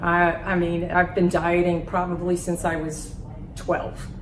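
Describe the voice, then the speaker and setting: Through noticeable background noise and audible room echo, a woman speaks at a fairly low pitch. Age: 60s. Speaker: weight loss patient. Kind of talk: testimonial interview. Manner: animated.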